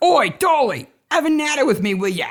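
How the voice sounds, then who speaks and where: A put-on character voice in a Cockney accent, high-pitched with very wide pitch swings, at a fairly quick pace. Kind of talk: informal.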